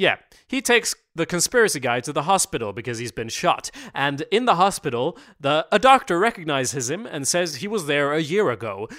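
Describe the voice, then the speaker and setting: Bright and sharp in tone, the voice moves at a fairly quick pace with very wide pitch swings, in a dry, close sound with no echo and a very clean recording with a silent background. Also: man, fairly high pitch for a man. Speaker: podcast co-host. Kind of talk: casual chat.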